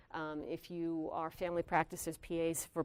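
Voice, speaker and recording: A woman with an American accent speaks in a monotone, flat way at a fairly low pitch, on a very clean recording with a silent background. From New York. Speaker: physician assistant professor. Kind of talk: lecture. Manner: direct.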